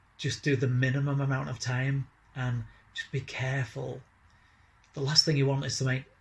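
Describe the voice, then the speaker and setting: A man talks at a moderate pace at medium pitch with monotone, flat intonation. His voice is somewhat breathy. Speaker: chronic pain patient vlogger. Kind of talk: personal vlog.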